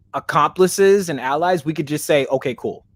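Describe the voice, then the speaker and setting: The recording is very clean, with a silent background. A man speaks at a moderate pace in a fairly high voice with ordinary pitch variation. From Kansas, grew up among Samoans. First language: not English. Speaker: podcast host. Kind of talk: casual interview chat.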